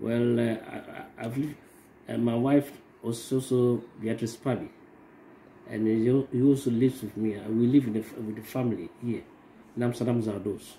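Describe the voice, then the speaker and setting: Medium-pitched male voice in a flat monotone, with light background noise. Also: moderate pace. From Ghana. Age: 50s. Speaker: parent. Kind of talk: family self-introduction; casual vlog chat. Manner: halting, many fillers. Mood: calm, proud of son.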